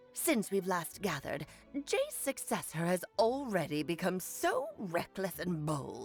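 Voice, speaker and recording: A put-on character voice at a middle pitch and fairly slow pace, with faint music in the background. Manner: imitating an older woman.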